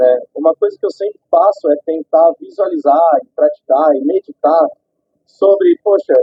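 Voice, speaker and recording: A man speaks at a fairly slow pace as music plays in the background. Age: 30s. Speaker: prosthetics clinic owner, amputee. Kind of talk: street interview testimony.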